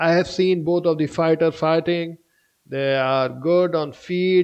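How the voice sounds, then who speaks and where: A man with an Indian accent speaks at a very slow pace. His pitch is fairly high, and his intonation fairly even. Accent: Indian accent, apologizes for pronunciation. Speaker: MMA fight predictor, YouTuber. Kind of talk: fight prediction commentary. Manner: halting, with fillers.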